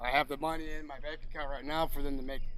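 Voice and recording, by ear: A man's fairly high voice, fast, with little pitch movement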